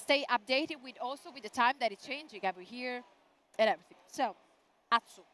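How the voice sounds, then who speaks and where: In an Italian accent, a woman talks at a very fast pace in a high, bright, sharp voice, with ordinary pitch variation and big swings in loudness. Long, frequent pauses break up her speech, and the sound is dry and close with no echo. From Italy. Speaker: event host. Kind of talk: live event streaming presentation. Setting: exhibition booth. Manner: animated.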